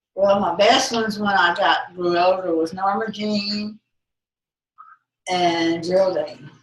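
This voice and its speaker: A woman with a Texan accent speaks at a very slow pace and a medium pitch, her intonation fairly even and broken by long, frequent pauses. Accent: Texas Southern. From Texas. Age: 80s+. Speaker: grandmother interviewed by family. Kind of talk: family interview. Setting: family home visit.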